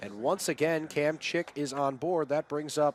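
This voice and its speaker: The speaker has a plain, everyday voice. The pace is moderate. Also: man. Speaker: sports broadcaster, play-by-play announcer. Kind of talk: baseball play-by-play.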